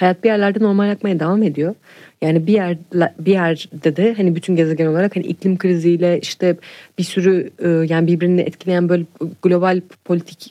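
Speaking fairly quickly, a woman uses a fairly low pitch, a dark, mellow tone and fairly even intonation. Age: 20s. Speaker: singer-songwriter. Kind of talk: casual chat.

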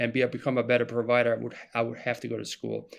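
A man with a German accent talks at a very fast pace. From Germany. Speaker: marketing specialist. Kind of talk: podcast interview.

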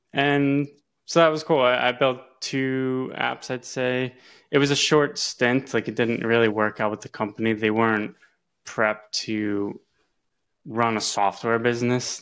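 A man's plain, everyday voice at medium pitch, fairly slow and fairly even in intonation, on a very clean recording with a silent background. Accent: American. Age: 30s. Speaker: software engineer. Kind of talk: interview.

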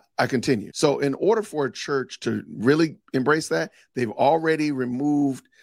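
An unremarkable speaking voice, a man talks at a moderate pace with lively intonation. The recording is very clean, with a silent background. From Chicago, US Midwest. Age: 40s. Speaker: theologian and podcaster. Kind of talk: podcast interview.

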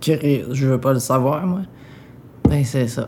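A woman's very deep, low voice at a very slow pace, with noticeable background noise. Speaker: interviewee with cancer. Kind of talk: intimate interview. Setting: at home in apartment.

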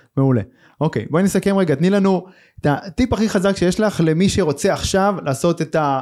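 The very clean recording, with a silent background, captures a man talking at a very fast pace and a high pitch. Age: 40s. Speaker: podcast host, entrepreneur. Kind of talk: interview.

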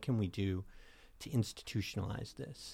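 A plain, everyday voice from a man, fairly even intonation and a moderate pace, on a very clean recording with a silent background. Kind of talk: casual interview.

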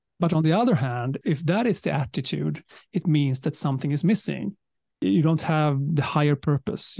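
Recorded dry and close with no echo, a man speaks at a moderate pace in a somewhat breathy, fairly high voice with ordinary pitch variation. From southern Sweden. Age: 50s. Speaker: leadership communication speaker and author. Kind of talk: interview.

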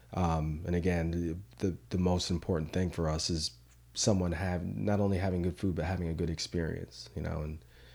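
A man with an American accent, very deep and low in pitch, dark and mellow in tone, at a moderate pace with fairly even intonation, in a very clean recording with a silent background. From Connecticut, US. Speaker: chef and food truck owner. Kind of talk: casual chat. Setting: home studio.

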